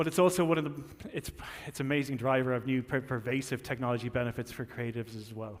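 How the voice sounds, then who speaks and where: A man with an Irish accent talks at a very fast pace. His pitch sits at a medium level, with ordinary variation. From Ireland. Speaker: tech company marketing executive. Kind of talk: keynote speech. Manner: halting, with frequent fillers and repetitions.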